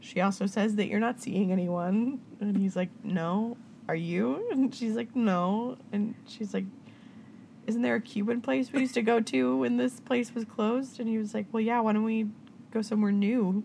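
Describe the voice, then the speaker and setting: A woman speaks at a moderate pace with a fairly high pitch and ordinary pitch variation. Her tone is dark and mellow, and somewhat breathy. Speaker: podcast host. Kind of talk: casual chat. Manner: animated, does many voices and accents.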